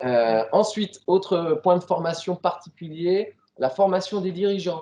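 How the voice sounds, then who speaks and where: Very slow in pace, a man speaks with a dark, mellow tone. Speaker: regional sports federation staff presenting training. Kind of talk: meeting presentation. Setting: meeting room, streamed on Facebook. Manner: loud; hesitant, many fillers. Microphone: no microphone, hard to hear online.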